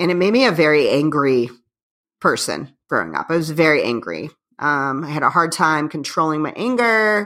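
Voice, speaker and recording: A woman's very deep, low voice with an American accent and lively intonation, on a very clean recording with a silent background. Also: moderate pace. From Northwest Indiana, near Chicago. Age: 40s. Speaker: punk band musician. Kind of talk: casual interview chat.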